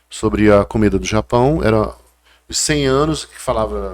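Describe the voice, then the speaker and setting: In a very clean recording with a silent background, a man speaks with a strong northeastern Brazilian accent. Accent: northeastern Brazilian, kept strong. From Brazil, Paraíba (Northeast). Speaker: chef and food historian. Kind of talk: casual chat.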